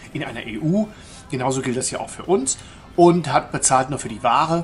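A man's voice, with ordinary pitch variation, is joined by faint music in the background. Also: fairly quick pace. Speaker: travel vlogger. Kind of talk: casual vlog commentary. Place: hall. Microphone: phone near.

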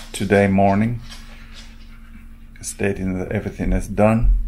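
Over light background noise, a man speaks at a fairly slow pace in a fairly low pitch. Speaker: vlogger. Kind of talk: casual vlog chat. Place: home room. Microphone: phone near.

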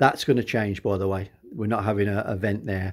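A man speaks at a fairly low pitch, somewhat breathy. His intonation stays fairly even. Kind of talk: casual project walkthrough. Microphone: phone near.

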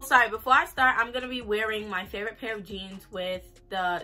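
A woman's voice with ordinary pitch variation over faint background music. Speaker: fashion vlogger. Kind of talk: casual vlog chat. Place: home room. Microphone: camera far.

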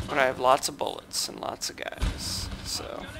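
A man drawls out his words at a very slow pace with music in the background. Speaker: strategy game YouTuber. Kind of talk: gameplay replay commentary.

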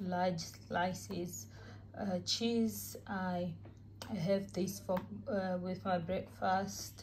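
The pace is very slow, with little pitch movement. The tone is slightly mellow. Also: woman.

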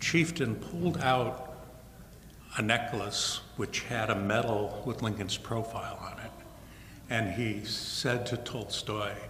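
A man speaks at a very slow pace. Room echo is audible, with light noise in the background. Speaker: guest lecturer. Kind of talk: lecture. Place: hall. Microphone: podium.

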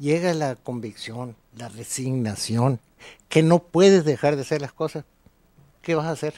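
Against a quiet background, a dark, mellow voice speaks at a fairly slow pace with ordinary pitch variation and big swings in loudness, the sound dry with no echo. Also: man, fairly high pitch for a man. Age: 70s. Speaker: lawyer; interviewee. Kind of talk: interview. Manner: halting. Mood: resigned, somber. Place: studio. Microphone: studio mic.

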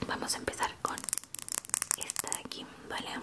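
A soft-spoken woman talks at a moderate pace against loud background noise. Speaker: ASMR creator in caregiver roleplay. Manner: soft close ASMR murmur. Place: home room.

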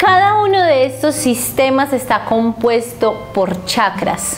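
Music is heard behind the speech. The speaker is a woman. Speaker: spiritual teacher. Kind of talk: spiritual teaching talk. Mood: calm, warm. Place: home room. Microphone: lapel.

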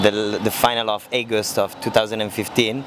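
A man with an Italian accent, a dry sound with no echo, and noticeable background noise. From Italy (Milan). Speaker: motorbike traveller. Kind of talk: interview. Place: street. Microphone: handheld.

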